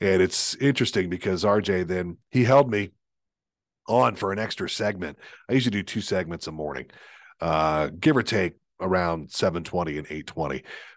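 Against a quiet background, a man with a very deep, low voice talks at a moderate pace with lively intonation. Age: 50s. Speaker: TV meteorologist. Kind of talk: solo podcast weather talk. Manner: casual, with many filler words.

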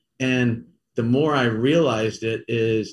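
A man has a normal speaking voice, medium pitch and an American accent. He talks at a fairly slow pace with ordinary pitch variation. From US Midwest, Kansas City. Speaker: company CEO. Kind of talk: interview. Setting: remote, not in studio.

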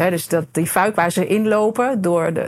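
A woman's plain, everyday voice at a medium pitch with ordinary pitch variation, on a very clean recording with a silent background. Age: 50s. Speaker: coach and self-employed entrepreneur. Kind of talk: podcast interview.

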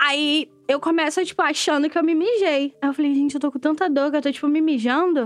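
A woman's high voice at a fairly quick pace, with hardly any pauses, very even loudness, and fairly even intonation. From Rio de Janeiro, Maré. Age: 20s. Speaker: student and community organizer. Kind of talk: interview testimony. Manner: casual, uses filler 'tipo'.

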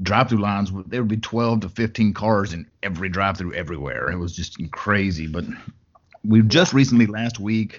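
An unremarkable speaking voice from a man, fairly low in pitch, with ordinary pitch variation at a moderate pace. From West Texas. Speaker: podcast host. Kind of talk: casual interview chat. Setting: video call with guest abroad.

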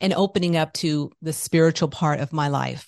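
In a dry, close sound with no echo, a woman with a plain, everyday voice and a fairly low pitch speaks at a fairly quick pace. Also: quiet background. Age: 50s. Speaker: spiritual business owner and podcaster. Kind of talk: interview conversation; guided exercise.

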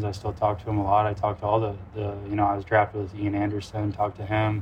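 At a very fast pace, a man speaks in a fairly low, somewhat breathy voice with monotone, flat intonation. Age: 20s. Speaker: professional baseball pitcher. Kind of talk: interview. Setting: at a ballpark.

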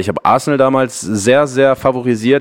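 With an unremarkable speaking voice, a man talks at a fairly quick pace and keeps his intonation fairly even. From Ruhr area, Germany. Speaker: football podcaster. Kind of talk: casual chat.

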